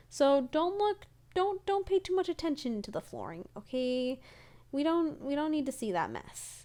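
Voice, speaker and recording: A woman's dark, mellow voice rises and falls in very wide pitch swings. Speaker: gaming YouTuber and streamer. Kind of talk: voiceover commentary. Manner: fast; energetic.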